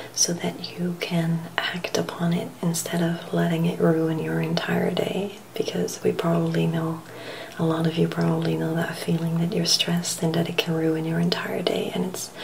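A soft-spoken woman with a gentle tone at a moderate pace, light background noise behind her. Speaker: vlogger giving self-help tips. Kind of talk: casual vlog chat. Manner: soft-spoken, gentle, hushed close voice. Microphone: webcam.

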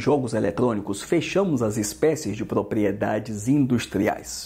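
A man delivers his words at a moderate speed, his intonation lively. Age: 50s. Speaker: law teacher. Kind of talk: lecture. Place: home room. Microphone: lapel.

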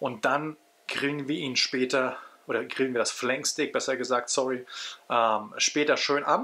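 A man speaks in a bright, sharp tone. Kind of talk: casual cooking tutorial. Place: kitchen. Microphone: phone near.

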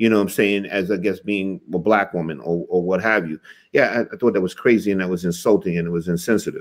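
A man speaks at a very fast pace in a very deep, low voice with fairly even intonation over a quiet background. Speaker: talk show co-host. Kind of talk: casual chat. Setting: live stream. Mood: opinionated, earnest. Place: home room. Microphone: video call.

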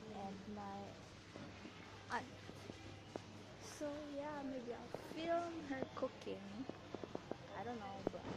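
A woman at a very slow pace, with long, frequent pauses over loud background noise. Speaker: vlogger. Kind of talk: casual vlog chat. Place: shop. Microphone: phone near.

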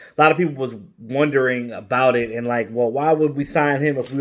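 Speech moves at a moderate pace over a quiet background. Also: man. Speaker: sports commentator vlogger. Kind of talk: commentary. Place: home room. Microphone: phone near.

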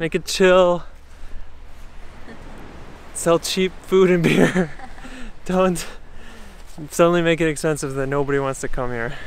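A man speaks fairly slowly at a high pitch, leaving long, frequent pauses. His pitch variation is ordinary, and the dry, echo-free sound holds light background noise. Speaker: travel vlogger. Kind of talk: casual vlog chat. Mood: relaxed, upbeat. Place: beach. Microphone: phone near.

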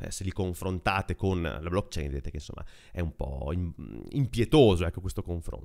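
A man with a very deep, low pitch and vocal fry, lively intonation, moderate pace, over a quiet background. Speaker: tech podcaster; tech news host. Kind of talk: casual monologue. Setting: apartment. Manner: close to mic, low gain. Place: home room. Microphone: very close to mic, low gain; studio mic.

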